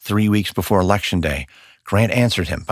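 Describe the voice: In this plain reading aloud, the intonation holds fairly even.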